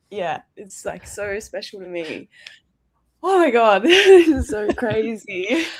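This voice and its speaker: With an Australian accent, a woman speaks very slowly in a fairly high voice with very wide pitch swings. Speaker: short film award winner. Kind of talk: emotional live interview. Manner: halting, emotional.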